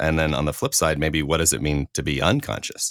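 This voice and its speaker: Recorded very cleanly with a silent background and a dry, close sound with no echo, a man speaks at a very deep, low pitch with vocal fry. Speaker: podcast host. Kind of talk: casual chat.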